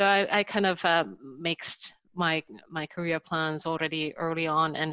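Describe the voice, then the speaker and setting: A woman with a slight Finnish accent talks at a moderate pace, her fairly low voice bright and sharp in tone with fairly even intonation. The sound is dry and close with no echo, over a quiet background. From Finland. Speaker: technology executive. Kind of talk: webinar presentation.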